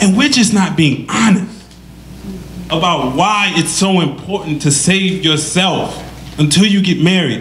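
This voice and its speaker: Speaking at a fairly slow pace with an American accent, a man with a high pitch and ordinary pitch variation is heard amid noticeable background noise and audible room echo. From Detroit, US Midwest. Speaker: panelist, Islamic school vice principal. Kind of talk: panel discussion.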